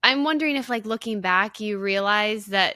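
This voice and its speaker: Her moderate pace and medium pitch go with an unremarkable speaking voice, as a woman is heard in a very clean recording with a silent background. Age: 20s. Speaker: podcast host. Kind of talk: casual chat.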